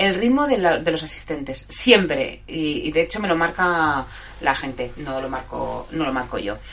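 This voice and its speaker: Amid noticeable background noise, a woman with a fairly low voice talks fairly slowly with very wide pitch swings. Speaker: live show host. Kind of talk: casual live chat with listeners. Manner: halting, stumbling over words.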